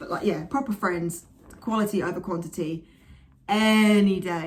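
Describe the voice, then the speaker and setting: Speaking with an English accent, a woman sounds animated at a medium pitch. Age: 20s. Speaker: vlogger and actress. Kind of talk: casual vlog monologue. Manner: loud.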